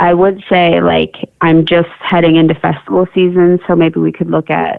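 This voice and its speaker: A woman speaks at a moderate pace with an Upper Midwest accent. Her loudness stays very even. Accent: Upper Midwest American. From South Dakota. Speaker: artist and art teacher. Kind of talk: radio interview. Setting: phone or remote call from her kitchen.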